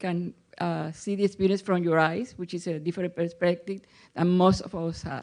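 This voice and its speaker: A woman with a Spanish accent speaks in a fairly low pitch with a dark, mellow tone and fairly even intonation against a quiet background. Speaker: audience member asking a question. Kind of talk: audience Q&A. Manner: halting.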